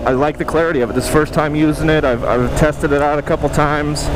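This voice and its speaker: Noticeable background noise and audible room echo accompany a man's fairly high-pitched voice with fairly even intonation. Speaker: motovlogger. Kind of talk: casual vlog monologue. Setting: riding a motorcycle outdoors. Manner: raised voice over wind.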